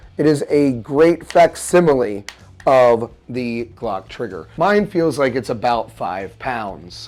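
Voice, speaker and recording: Very slowly, a man with a medium pitch speaks. His pitch swings very widely. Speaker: product reviewer. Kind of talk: product review talk to camera.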